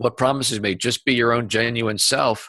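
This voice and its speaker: A man talks at a fairly quick pace with medium pitch and ordinary pitch variation. The background is quiet. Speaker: business coach and author. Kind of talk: interview. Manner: stumbles over words.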